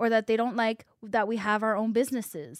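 Recorded very cleanly against a silent background, a woman with an unremarkable speaking voice and fairly high pitch talks at a fairly quick pace. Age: 20s. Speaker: podcast host. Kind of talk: casual interview chat.

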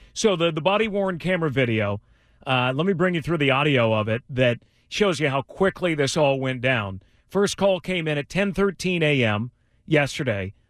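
This is a man with an ordinary speaking voice, pitched fairly high. He talks at a moderate pace in a dry, close sound with no echo. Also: lively intonation. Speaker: news reporter. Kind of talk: news report by phone to radio hosts.

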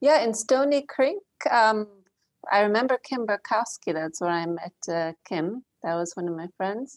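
A woman with an unremarkable speaking voice talks at a fairly slow pace with a fairly high pitch and lively intonation. The sound is dry and close, with no echo. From Philadelphia suburbs, Pennsylvania. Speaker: refugee aid worker. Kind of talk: casual interview. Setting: remote call.

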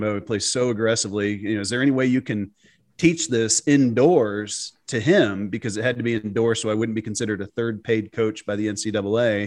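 Talking at a fairly quick pace with hardly any pauses, a man uses a normal speaking voice at medium pitch. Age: 40s. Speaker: golf analytics founder, former pro golfer. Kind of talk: podcast interview.

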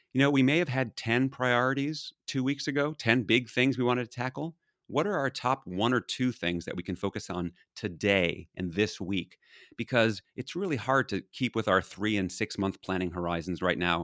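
A man with medium pitch and a plain, everyday voice talks at a moderate pace with lively intonation. The recording is very clean, with a silent background and a dry, close sound with no echo. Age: 50s. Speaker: leadership consultant and author. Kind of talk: casual interview.

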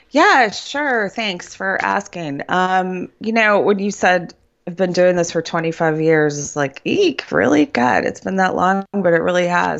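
With an American accent, a woman speaks in an ordinary speaking voice at a medium pitch, fairly slow pace and lively intonation, leaving hardly any pauses. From Ohio, Cleveland. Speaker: therapist and midlife coach. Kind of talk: interview.

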